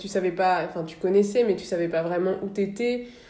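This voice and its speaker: A woman's dark, mellow voice at a medium pitch, with ordinary pitch variation and audible room echo. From northern France, Le Havre. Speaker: podcast host. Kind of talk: interview.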